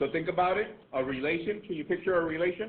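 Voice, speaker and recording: Loud and high-pitched, a man talks at a moderate pace with ordinary pitch variation. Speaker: math teacher. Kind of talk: classroom lecture. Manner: repetitive, emphatic.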